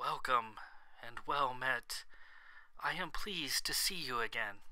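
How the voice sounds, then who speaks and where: A man puts on a character voice that is raspy and wheezy. He talks at a fairly slow pace. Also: medium pitch for a man. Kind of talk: formal, courteous.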